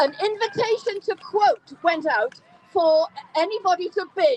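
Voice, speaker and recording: With a Geordie accent and lively intonation, a woman speaks at an extremely high pitch in a dry, close sound with no echo, against noticeable background noise. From Newcastle upon Tyne, England. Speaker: campaigner. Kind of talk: speech at an outdoor rally.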